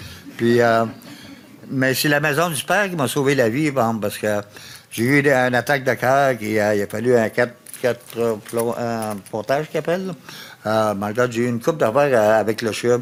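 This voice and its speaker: A man speaks at a medium pitch with ordinary variation. Noticeable background noise is present. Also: moderate pace. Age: 70s. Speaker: person with lived experience of homelessness. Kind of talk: testimony. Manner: halting.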